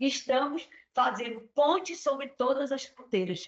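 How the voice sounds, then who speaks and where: A woman with a high pitch speaks fairly slowly with lively intonation. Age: 60s. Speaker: peace educator. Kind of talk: panel discussion.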